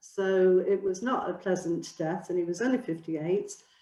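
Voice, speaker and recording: A woman speaks in a Mancunian accent. Her pitch varies in an ordinary way. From northern England, near Oldham. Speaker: charity co-founder, seminar speaker. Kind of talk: presentation with slides. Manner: hesitant, many fillers.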